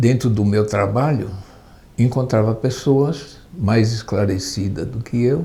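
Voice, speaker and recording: Somewhat breathy with a dark, mellow tone, a man speaks at a very slow pace. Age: 80s+. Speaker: retired union leader and woodworker. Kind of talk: oral history testimony. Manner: halting, with repetitions.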